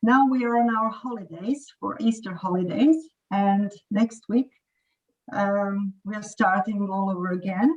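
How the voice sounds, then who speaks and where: A woman, somewhat breathy, at a medium pitch with ordinary pitch variation and a fairly slow pace. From Croatia. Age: 40s. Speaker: English teacher. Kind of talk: casual chat.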